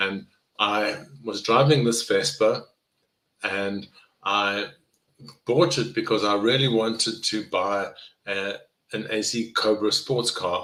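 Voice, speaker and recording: Speaking very slowly with long, frequent pauses, a man with a South African accent has a bright, sharp tone and a medium pitch with ordinary variation. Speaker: neuroscience professor and health coach. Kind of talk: live online presentation. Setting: live video session. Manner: conversational.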